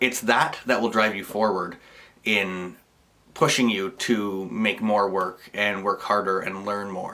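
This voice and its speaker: With a Canadian accent, this man talks at a fairly slow pace in a fairly low pitch, his tone bright and sharp and his intonation fairly even. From Canada, rural Ontario. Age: 20s. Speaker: photographer. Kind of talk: personal video monologue. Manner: casual, some hesitations.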